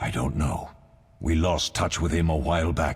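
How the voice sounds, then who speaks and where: Putting on a character voice, a man speaks at a moderate pace in a very deep, low, raspy voice. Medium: video game. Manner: terse, low-key.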